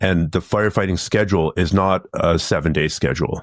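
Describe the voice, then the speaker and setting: The speaker has a Canadian accent, a fairly quick pace and ordinary pitch variation. It is a very clean recording, silent background, with a dry, close sound and no echo. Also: man. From Canada. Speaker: martial arts instructor and firefighter. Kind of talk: podcast interview.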